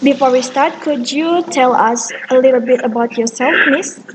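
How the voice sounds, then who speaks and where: Over noticeable background noise, a woman with a high voice speaks at a fairly slow pace. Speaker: student interviewer. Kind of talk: class assignment interview. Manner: halting.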